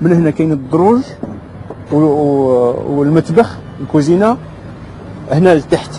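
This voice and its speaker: Through noticeable background noise, a man with a fairly high pitch and lively intonation speaks at a very slow pace, taking long, frequent pauses. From Morocco. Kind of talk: interview answer.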